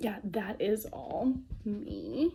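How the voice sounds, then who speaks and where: Her tone dark and mellow, a woman speaks with vocal fry and very wide pitch swings. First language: Romanian. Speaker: vlogger. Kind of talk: casual vlog. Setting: at home, on camera. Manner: halting, stumbling over words.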